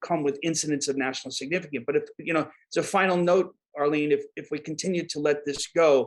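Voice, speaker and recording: A man with an American accent, a fairly high pitch, a fairly quick pace and fairly even intonation. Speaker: disaster management expert. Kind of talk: podcast interview. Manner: halting, many repeated words.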